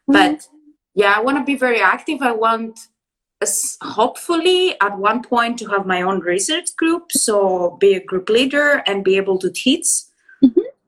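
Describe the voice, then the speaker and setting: Speech comes at a moderate pace with lively intonation. It is delivered in a Greek accent. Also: woman. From Greece. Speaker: PhD student, biologist. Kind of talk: interview. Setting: live stream. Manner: enthusiastic.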